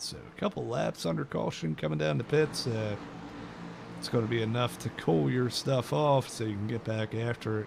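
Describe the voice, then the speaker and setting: There is noticeable background noise as a man at a medium pitch speaks at a moderate pace with lively intonation. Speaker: sim racing broadcast commentator. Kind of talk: live commentary.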